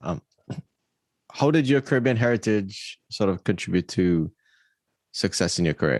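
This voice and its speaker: A man with a Trinidadian accent and lively intonation, in a dry, close sound with no echo and a quiet background. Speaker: podcast host. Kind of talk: interview.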